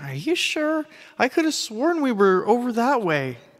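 A man's put-on character voice, extremely high in pitch, at a moderate pace with very wide pitch swings

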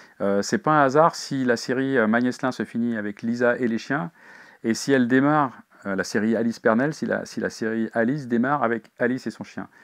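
Against a quiet background, a man talks at a moderate pace in a medium pitch with fairly even intonation. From Paris region, France; France. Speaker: crime novelist. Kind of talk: interview. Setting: bookshop signing. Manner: halting, frequent fillers. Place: shop.

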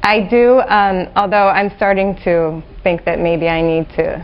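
The voice has vocal fry and fairly even intonation. The pace is fairly slow. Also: woman.

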